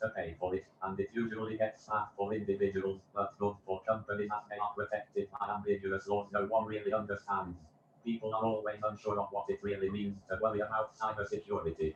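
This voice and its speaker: At a fairly quick pace, a man with a fairly low pitch talks in a flat monotone, somewhat breathy. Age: 20s. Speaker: chief security officer. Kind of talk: interview answers.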